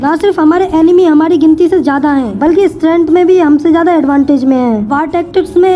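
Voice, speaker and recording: Over noticeable background noise, a woman speaks at a moderate pace in an extremely high pitch with ordinary pitch variation. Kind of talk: anime episode recap narration.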